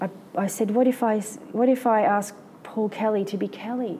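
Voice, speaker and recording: A woman with an Australian accent speaks at a fairly high pitch, her tone dark and mellow. Her pitch rises and falls in an ordinary way. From Victoria, Australia (Melbourne and Benalla). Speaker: artist. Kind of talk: interview before a live audience. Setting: gallery with live audience. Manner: halting, with frequent fillers and restarts.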